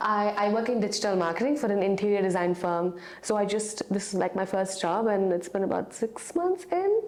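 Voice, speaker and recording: A woman talks at a fairly quick pace with very even loudness. Noticeable background noise is present. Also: medium pitch for a woman, ordinary pitch variation, hardly any pauses. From North India. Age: 20s. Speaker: dating show contestant. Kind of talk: casual chat.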